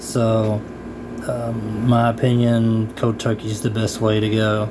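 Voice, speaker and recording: A man speaks at medium pitch and a very slow pace. Audible room echo and noticeable background noise surround him. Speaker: vlogger sharing personal experience. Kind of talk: casual personal talk to camera. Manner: hesitant, many fillers.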